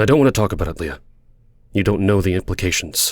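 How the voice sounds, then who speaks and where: A man in a put-on character voice is booming and intense, rushing at a very fast pace with a fairly low pitch and ordinary pitch variation. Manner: intense, forceful, blunt.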